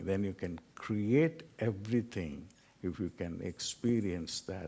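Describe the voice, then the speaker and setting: The speaker has a Tamil accent. The pace is very slow. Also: man. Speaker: spiritual teacher. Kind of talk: lecture.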